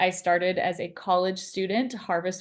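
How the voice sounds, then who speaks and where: The background is quiet. A woman speaks at a medium pitch. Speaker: agency founder. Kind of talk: webinar interview. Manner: fast.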